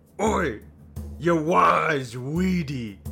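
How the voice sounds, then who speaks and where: A man's put-on character voice, fairly high in pitch, over clear music in the background. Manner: gruff, scolding.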